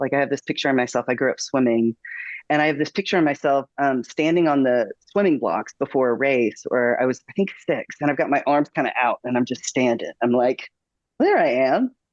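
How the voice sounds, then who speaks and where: Against a quiet background, a man with an American accent talks at a fairly quick pace, his fairly high pitch showing ordinary variation and his loudness very even, in a dry, close sound with no echo. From Northeast Texas (Longview). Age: 40s. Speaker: pastor. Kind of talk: interview. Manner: halting, many fillers.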